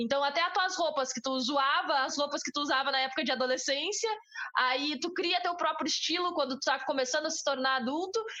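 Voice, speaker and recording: A woman with a southern Brazilian accent talks very fast in a raised, projected voice at a high pitch with ordinary pitch variation. Noticeable background noise runs behind her. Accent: gaúcho Brazilian Portuguese. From southern Brazil, Bagé (Rio Grande do Sul). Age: 20s. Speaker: podcast co-host. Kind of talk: casual chat.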